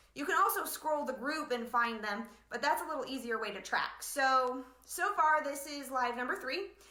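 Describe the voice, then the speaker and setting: A woman's raised, projected, high-pitched voice with lively intonation, amid noticeable background noise and audible room echo. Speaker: blogging business coach. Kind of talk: live online training. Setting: livestream from home living room. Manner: fast; animated.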